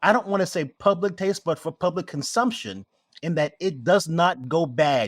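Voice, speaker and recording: Here a man with a high pitch talks at a moderate pace. His intonation is lively. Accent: American. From New York City (Queens, Brooklyn). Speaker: spirits maker. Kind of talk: interview.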